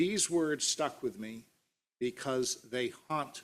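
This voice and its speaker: A man speaks at a fairly slow pace. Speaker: pastor. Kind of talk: sermon delivered to a congregation.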